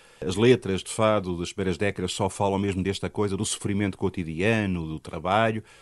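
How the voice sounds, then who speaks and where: Pitched fairly low, a man with a normal speaking voice talks at a fairly quick pace with fairly even intonation. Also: hardly any pauses, quiet background. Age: 60s. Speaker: musicologist and university professor. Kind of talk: interview.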